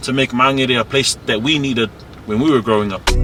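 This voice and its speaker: Over noticeable background noise, a man speaks at a medium pitch and fairly quick pace with fairly even intonation. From South Auckland, New Zealand. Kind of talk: casual neighbourhood tour talk.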